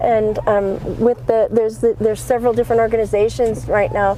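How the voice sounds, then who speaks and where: Moderately paced speech from a woman, noticeable background noise behind her. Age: 50s. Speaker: wellness business owner. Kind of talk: casual interview.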